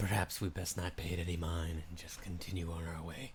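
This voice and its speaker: Doing a put-on character voice, a man talks fairly quickly in a very deep, raspy register with a flat, monotone delivery over clear background noise. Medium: actual play. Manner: hesitant, evasive.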